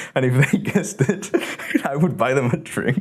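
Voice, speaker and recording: This man speaks with a Spanish accent at a medium pitch. His tone is animated, with very wide pitch swings. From Mexico. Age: 20s. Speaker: video editor and creator. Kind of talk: casual chat.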